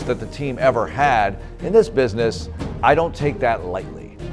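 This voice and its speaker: A man talks at a moderate speed while music plays behind him. The pitch of his voice rises and falls very widely. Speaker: play-by-play announcer, the voice of the Houston Texans. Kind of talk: interview answer, personal story.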